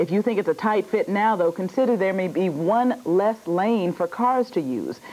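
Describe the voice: A woman with a fairly low pitch and a dark, mellow tone speaks at a moderate pace with ordinary pitch variation.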